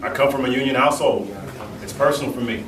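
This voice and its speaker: A man talks at a very fast pace and a medium pitch. There is audible room echo and noticeable background noise. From Jamaican heritage. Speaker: mayoral candidate. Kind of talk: political forum answers. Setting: union hall forum with audience.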